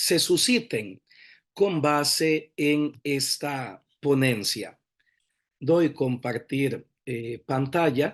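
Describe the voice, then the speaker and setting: Over a quiet background, a man speaks at a very slow pace with lively intonation. His pitch sits fairly high. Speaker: priest giving inaugural lecture. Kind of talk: lecture.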